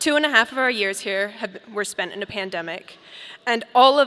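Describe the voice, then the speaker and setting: The voice carries an American accent and a bright, sharp tone. It moves at a fairly quick pace. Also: woman. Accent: slight British slips in. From Colorado, Boulder. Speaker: graduating student speaker. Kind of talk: commencement speech. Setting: stage with audience. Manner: formal.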